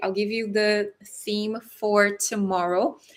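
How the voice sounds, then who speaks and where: A fairly high-pitched woman's voice, bright and sharp in tone, with a Brazilian accent. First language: Portuguese. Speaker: relationship coach. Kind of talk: live stream talk. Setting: livestream.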